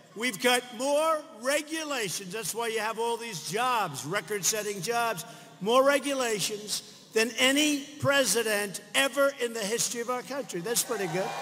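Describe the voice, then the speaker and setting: Raised and projected, a man's voice at an extremely high pitch runs on with hardly any pauses and ordinary pitch variation. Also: moderate pace. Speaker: US president speaking at a political rally. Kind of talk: political rally speech to a crowd. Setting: large crowd, rally venue with audience reactions.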